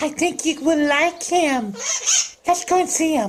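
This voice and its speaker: A cartoonish character voice speaks at a very slow pace in a playful tone. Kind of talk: comedy puppet sketch. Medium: puppet. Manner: doting, playful.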